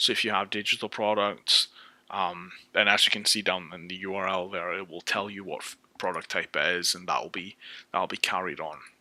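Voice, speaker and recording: A man with a British accent, a very deep, low pitch, a bright, sharp tone, monotone, flat intonation, big swings in loudness and a fairly quick pace. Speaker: software developer. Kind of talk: tutorial. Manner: casual, with frequent fillers and restarts.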